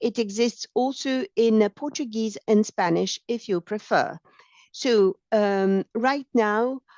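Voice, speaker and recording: A woman's very slow speech, fairly high in pitch, with ordinary pitch variation. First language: French. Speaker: training project officer. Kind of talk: software demonstration tutorial. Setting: online webinar. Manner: halting, many fillers.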